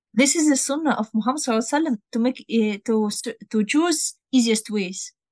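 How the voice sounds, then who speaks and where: A woman with a Russian accent speaks very fast at a high pitch, with ordinary pitch variation. The sound is dry and close, with no echo. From northern Russia near Finland. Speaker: Arabic and Quran teacher. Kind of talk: interview. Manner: halting.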